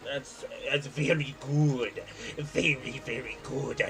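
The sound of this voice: Over clear background noise, a man speaks very slowly in a put-on character voice. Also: fairly high pitch for a man.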